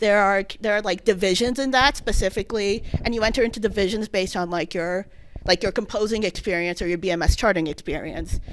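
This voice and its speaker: Her pitch shifts in a normal way. The woman's words come out extremely quickly. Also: medium pitch for a woman, very clean recording, silent background. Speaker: student presenter at a game dev club talk. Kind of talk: presentation talk. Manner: fast; halting, many fillers and restarts.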